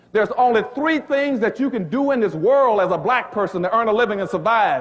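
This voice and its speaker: With noticeable background noise and audible room echo, a man speaks in an extremely high pitch, with an animated tone, lively intonation and a fairly quick pace. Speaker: economics author and lecturer. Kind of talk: public lecture.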